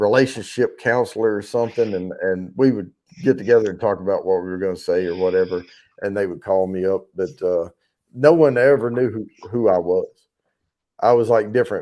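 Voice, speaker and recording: Speaking fairly quickly with a slight Southern US accent, a man has a dark, mellow tone, medium pitch, and ordinary pitch variation. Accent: slight Southern country. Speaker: livestream giveaway show host. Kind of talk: casual chat. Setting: live stream.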